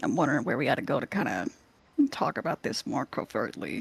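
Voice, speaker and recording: A man puts on a raspy character voice, fairly high for a man, and talks at a very fast pace. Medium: actual play. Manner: measured, deliberate.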